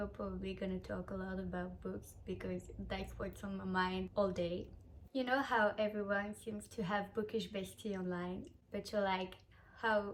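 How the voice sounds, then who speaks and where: A woman with a French accent at a moderate pace. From France. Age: 20s. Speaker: vlogger. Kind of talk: casual chat. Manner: halting.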